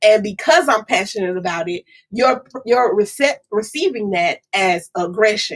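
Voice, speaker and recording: A woman speaks loudly with a fairly high pitch and very wide pitch swings. Her tone is animated. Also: fairly slow pace. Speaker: podcast co-host. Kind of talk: casual chat.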